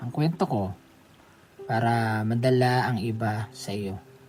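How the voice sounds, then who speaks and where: Someone speaks at a very slow pace with music in the background. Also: man. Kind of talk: prayer. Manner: earnest, heartfelt, conversational.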